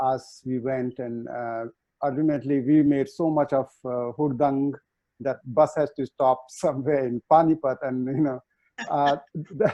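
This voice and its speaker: A man with an Indian accent talks fairly slowly at a fairly high pitch, keeping his intonation fairly even. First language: Hindi. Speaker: chef. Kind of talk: panel discussion. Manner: halting.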